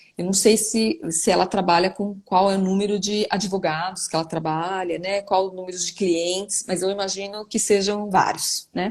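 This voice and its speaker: Spoken in a flat monotone with hardly any pauses. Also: woman, medium pitch for a woman, moderate pace. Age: 40s. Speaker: neuropsychologist. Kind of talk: live online interview answering viewer questions. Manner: hesitant, many fillers.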